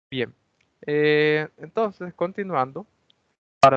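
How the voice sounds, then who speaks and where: A man's fairly high voice, a plain, everyday voice, with ordinary pitch variation and a fairly slow pace. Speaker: university lab instructor. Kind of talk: lecture.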